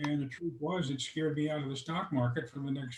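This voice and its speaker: A man is speaking. His voice is somewhat breathy. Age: 80s+. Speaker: retired airline worker and investor. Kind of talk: interview. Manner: halting, many fillers.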